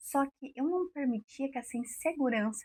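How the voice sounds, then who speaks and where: A woman speaks in a calm tone. The sound is dry and close, with no echo. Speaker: women's mentor and radio presenter. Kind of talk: motivational talk.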